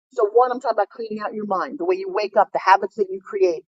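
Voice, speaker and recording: A woman speaks with very wide pitch swings. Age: 60s. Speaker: fitness and business speaker. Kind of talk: motivational talk. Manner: animated.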